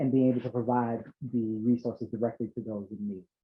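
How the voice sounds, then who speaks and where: This man has an American accent and a medium pitch. He talks at a fairly quick pace. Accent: Boston accent, slips out at times. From Boston. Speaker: nonprofit chief executive. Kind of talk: panel discussion. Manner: hesitant, many fillers.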